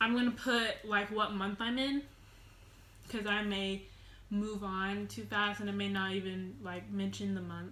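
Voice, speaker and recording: A woman talks at a fairly slow pace amid noticeable background noise and audible room echo. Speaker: vlogger. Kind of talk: casual storytime vlog. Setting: at home alone, sitting on the floor. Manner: loud.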